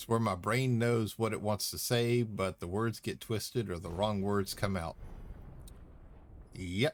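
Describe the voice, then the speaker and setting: A man with a Southern US accent speaks at a fairly slow pace in a fairly low pitch, with long, frequent pauses. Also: ordinary pitch variation. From US South, Louisiana. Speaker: gaming streamer. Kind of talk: live gameplay stream chat. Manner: speech impediment, words get twisted; casual, chatty.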